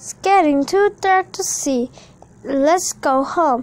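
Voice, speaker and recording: Squeaky and high-pitched, a woman puts on a character voice with lively intonation, speaking at a very slow pace. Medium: read story.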